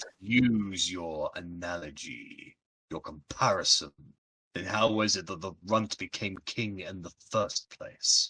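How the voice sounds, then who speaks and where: A man puts on a character voice with a fairly low pitch. He delivers it at a fairly slow pace. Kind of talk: fantasy villain roleplay. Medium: actual play. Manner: haughty, blunt, dismissive.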